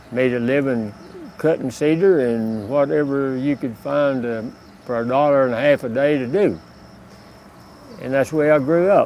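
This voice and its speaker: A man's medium-pitched voice in a Texas accent, with long, frequent pauses and noticeable background noise. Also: ordinary pitch variation, moderate pace. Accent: rural Texan. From Texas, Hill Country near Austin. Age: 80s+. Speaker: retired border patrol officer. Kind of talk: personal life story interview. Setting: outdoors. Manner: halting, with many uh pauses.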